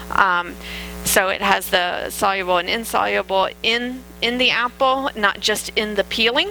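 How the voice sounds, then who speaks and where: Noticeable background noise behind a woman's fairly slow, medium-pitched speech with ordinary pitch variation. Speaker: dietitian giving a health talk. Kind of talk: lecture. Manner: hesitant with fillers.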